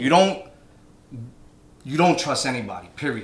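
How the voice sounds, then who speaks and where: A man with a New York accent at a moderate pace, with ordinary pitch variation and audible room echo. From New York (Brooklyn). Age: 30s. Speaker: DJ and DJ instructor. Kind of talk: casual chat.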